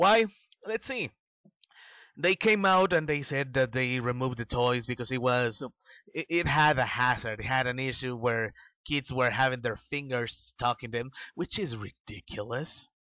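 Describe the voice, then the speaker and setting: Speaking at a moderate pace with a non-native accent, a man has a medium pitch, ordinary pitch variation and a bright, sharp tone, captured with a dry, close sound, no echo and a quiet background. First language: not English. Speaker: vlogger. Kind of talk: opinion monologue. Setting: voice-only video, no camera. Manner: halting, with fillers.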